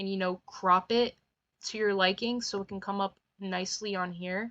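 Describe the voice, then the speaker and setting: Bright and sharp in tone, a woman speaks at a medium pitch. Her pace is moderate. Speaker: tutorial creator. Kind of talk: tutorial. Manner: casual, unscripted; halting, with filler words.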